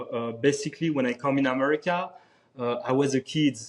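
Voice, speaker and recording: Speaking with a French accent, a man keeps his pitch fairly high. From France, Paris. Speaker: private chef. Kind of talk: casual interview. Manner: halting, many fillers.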